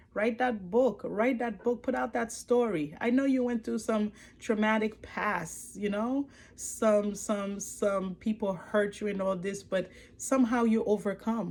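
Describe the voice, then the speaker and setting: Speaking in a Haitian accent, a woman has a fairly high, somewhat breathy voice with lively intonation and a fairly slow pace. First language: Haitian Creole or French. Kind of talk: motivational testimony. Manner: animated; repetitive, with many fillers.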